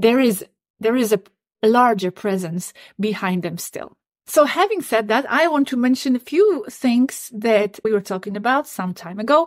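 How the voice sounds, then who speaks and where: A woman speaks with a non-native accent. Her pitch is fairly high and her intonation lively. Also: moderate pace, dry, close sound with no echo. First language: not English. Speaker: YouTube channel host on channelled extraterrestrial contact. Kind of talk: solo monologue to camera, partly reading out channelled messages. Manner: repetitive, stammering restarts.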